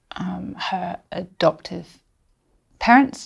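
A woman's medium-pitched voice with a southern English accent. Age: 40s. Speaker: historian and podcast host. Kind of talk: casual chat. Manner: animated.

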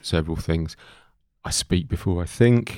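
A man speaks with an East Anglian accent. His voice is very deep and low, on a very clean recording with a silent background. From East Anglia England. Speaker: podcast host. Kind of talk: casual podcast interview.

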